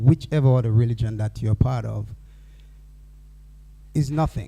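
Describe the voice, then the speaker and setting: The tone is dark and mellow, and somewhat breathy. Pitch variation is ordinary. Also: man. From Dominica. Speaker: forum speaker. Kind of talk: panel remarks.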